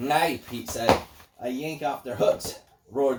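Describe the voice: What we hear is plain reading aloud.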